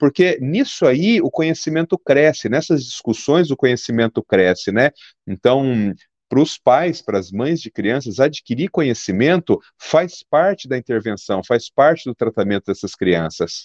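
A man's medium-pitched voice with very wide pitch swings over a quiet background. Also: fairly slow pace, dry, close sound with no echo. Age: 50s. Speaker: pediatric neurologist. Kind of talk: interview.

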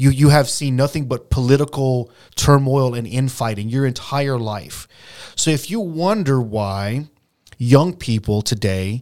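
In a very clean recording with a silent background, a man with a plain, everyday voice speaks at medium pitch and a moderate pace with ordinary pitch variation. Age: 40s. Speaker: podcast co-host. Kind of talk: casual chat.

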